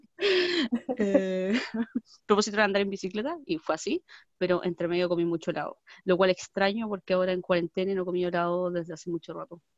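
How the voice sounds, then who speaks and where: Speaking at a fairly quick pace, a woman uses a medium pitch and fairly even intonation in an unremarkable speaking voice. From Chile, Valparaíso region. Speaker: podcast co-host. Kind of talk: casual chat. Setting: video call.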